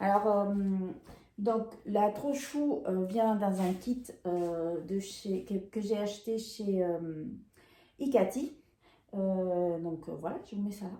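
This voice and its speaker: In a room with audible echo, a woman with a dark, mellow tone speaks at a very slow pace and medium pitch, with ordinary pitch variation and long, frequent pauses. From Peru. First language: Spanish (speaking French). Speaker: sewing and knitting vlogger. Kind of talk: casual haul video chat. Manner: hesitant, many fillers.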